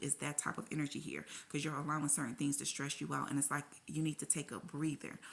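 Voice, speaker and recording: With vocal fry and a very deep, low pitch, a woman speaks at a very fast pace. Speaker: tarot reader. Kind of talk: tarot reading. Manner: animated.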